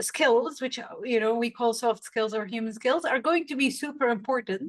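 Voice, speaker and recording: A woman in a Saudi accent, high-pitched, with ordinary pitch variation. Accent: Saudi Arabian English. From Saudi Arabia. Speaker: storytelling coach. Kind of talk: podcast interview.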